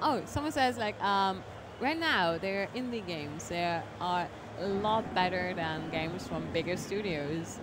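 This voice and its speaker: With a German accent, a woman of medium pitch speaks at a moderate pace amid noticeable background noise and audible room echo. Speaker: streamer interviewing a game developer. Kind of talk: casual live-stream interview.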